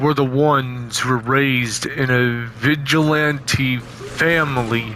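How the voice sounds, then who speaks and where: A put-on character voice at a fairly slow pace, with clear background noise. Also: man, medium pitch for a man. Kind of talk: casual amateur horror narration. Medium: read story. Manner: rambling, repetitive.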